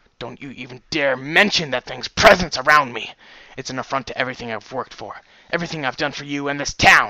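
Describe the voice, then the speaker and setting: A man speaks in a put-on character voice at a medium pitch. He talks at a very fast pace. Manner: controlling, angry.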